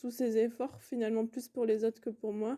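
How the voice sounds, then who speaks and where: With a dark, mellow tone, a woman speaks at a fairly high pitch in a monotone, flat intonation. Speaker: non-binary interviewee. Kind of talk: testimony. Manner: hesitant, many fillers.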